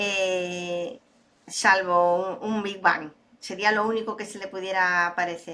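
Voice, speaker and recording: A woman at a very slow pace, monotone and flat in intonation, with a bright, sharp tone and big swings in loudness. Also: medium pitch for a woman. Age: 60s. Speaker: data and AI expert, speaker. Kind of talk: interview conversation.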